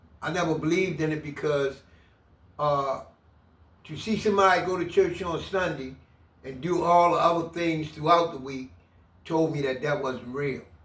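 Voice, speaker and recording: A man's fairly high voice in an American accent, at a moderate pace with fairly even intonation and audible room echo. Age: 60s. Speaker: former prisoner. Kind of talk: interview testimony.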